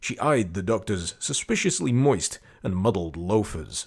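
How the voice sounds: A man speaks at a fairly slow pace with a fairly low pitch, big pitch swings, vocal fry and a slightly husky edge. The recording is very clean, with a silent background.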